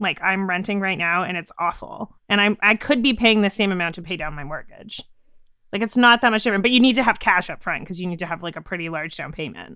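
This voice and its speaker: A woman speaks very fast at medium pitch with ordinary pitch variation in a very clean recording with a silent background. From Canada. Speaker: podcast producer. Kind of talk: casual chat.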